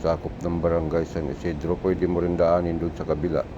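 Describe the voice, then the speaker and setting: Over noticeable background noise, a soft-spoken man talks with a very deep, low pitch. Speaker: driving vlogger. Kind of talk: casual vlog narration while driving. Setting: in a car with passengers.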